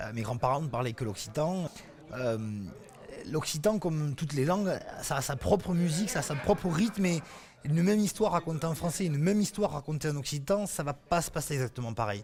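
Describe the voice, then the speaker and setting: In a normal speaking voice, a man talks at a fairly quick pace with a fairly high pitch and lively intonation. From Occitania, southern France. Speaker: storyteller. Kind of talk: interview answer.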